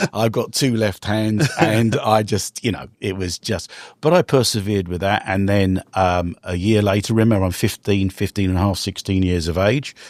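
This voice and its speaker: A man with a London accent speaks at a fairly low pitch with ordinary pitch variation and hardly any pauses, the sound dry and close with no echo on a very clean recording with a silent background. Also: moderate pace. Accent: British (London), retained. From London, England. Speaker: real estate investor and entrepreneur. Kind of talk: podcast interview.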